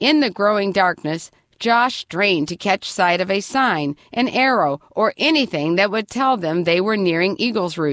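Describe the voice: Plain reading aloud, delivered with lively intonation.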